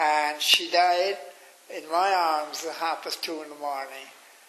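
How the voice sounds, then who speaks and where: Over noticeable background noise, a man speaks at a very slow pace with fairly high pitch. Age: 90s. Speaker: interviewee recounting memories. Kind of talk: interview. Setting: radio.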